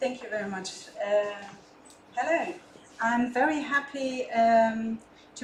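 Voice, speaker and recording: Amid noticeable background noise and audible room echo, a woman speaks at a very slow pace with lively intonation. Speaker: head of a university international office. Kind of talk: conference presentation.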